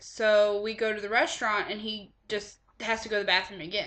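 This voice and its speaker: A woman's medium-pitched voice, an ordinary speaking voice. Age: 20s. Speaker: college student. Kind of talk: class speech.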